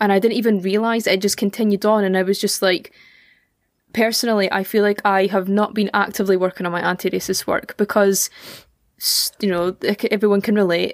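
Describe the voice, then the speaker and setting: A woman of medium pitch talks at a fairly quick pace in a monotone, flat delivery with a Scottish accent. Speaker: podcast host. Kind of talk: casual chat, podcast conversation.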